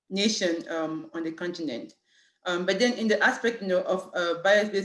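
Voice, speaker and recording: Here is a woman at a medium pitch. She talks at a moderate pace. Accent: French. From Cameroon. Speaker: city human rights official. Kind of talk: panel talk. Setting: video call. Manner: halting, many fillers.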